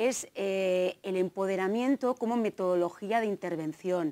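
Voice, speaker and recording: Speaking at a very slow pace, a woman draws out her words. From Navarre, Spain (Tafalla); Navarre, Spain. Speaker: gender studies lecturer and researcher; gender studies lecturer. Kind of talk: conference talk. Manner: hesitant, many fillers. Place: hall. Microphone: lapel.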